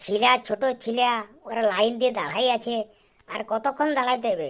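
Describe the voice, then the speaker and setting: A woman puts on a cartoonish character voice, fairly high in pitch. She moves at a moderate pace. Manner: rough, swearing, quick-talking.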